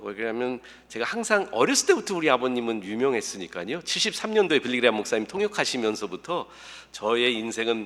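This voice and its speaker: Speaking at a fairly quick pace with ordinary pitch variation, the man has an ordinary speaking voice. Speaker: pastor. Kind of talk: sermon. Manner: casual, humorous conversational delivery.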